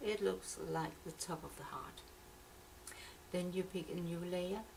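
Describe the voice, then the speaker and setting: Audible room echo surrounds speech delivered at a fairly slow pace. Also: woman. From Denmark. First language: Danish. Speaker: software tutorial maker. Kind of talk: tutorial. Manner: halting.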